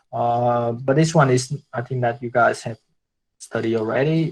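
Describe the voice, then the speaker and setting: At a fairly slow pace, a man with a Vietnamese accent speaks with fairly even intonation. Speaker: guest speaker on branding. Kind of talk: online workshop Q&A. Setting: video call. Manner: halting, many fillers and repetitions.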